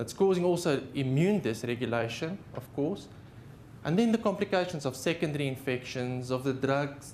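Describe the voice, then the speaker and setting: With a South African accent, a man speaks at a moderate pace and a fairly high pitch, his pitch varying in an ordinary way amid audible room echo. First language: Afrikaans. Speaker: haematologist. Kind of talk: lecture. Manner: halting.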